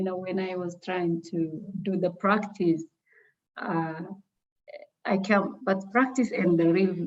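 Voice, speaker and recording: A woman speaks at a fairly slow pace in a somewhat breathy voice. Her pitch varies in an ordinary way. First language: not English. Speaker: trainee presenter. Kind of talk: feedback discussion.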